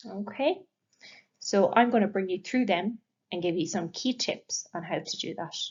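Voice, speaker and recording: With lively intonation, a woman speaks at a medium pitch in a somewhat breathy voice. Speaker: English language teacher. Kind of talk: lecture. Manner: slow.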